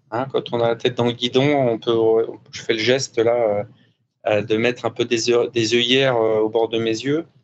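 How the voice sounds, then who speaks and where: This man talks at a fairly slow pace in a medium pitch, his intonation monotone and flat. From France. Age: 50s. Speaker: former offshore sailor turned business coach. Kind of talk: interview. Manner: hesitant, many fillers.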